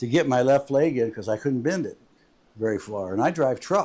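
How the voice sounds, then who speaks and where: A man's dark, mellow tone with ordinary pitch variation, on a very clean recording with a silent background. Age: 70s. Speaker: amateur golf video creator, truck driver. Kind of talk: casual vlog monologue.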